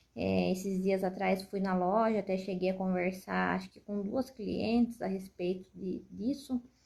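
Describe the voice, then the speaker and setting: A soft-spoken woman talks at a fairly slow pace with hardly any pauses, her medium-pitched voice having a dark, mellow tone. Her intonation is fairly even, but her loudness swings widely. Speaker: mother and shop owner. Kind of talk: personal testimony.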